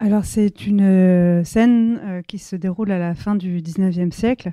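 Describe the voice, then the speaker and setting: A woman's voice has a dark, mellow tone. The recording is very clean, with a silent background and a dry, close sound with no echo. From France, Seine-et-Marne. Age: 30s. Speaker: novelist. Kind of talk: bookshop talk. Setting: bookshop event with audience. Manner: hesitant, many fillers.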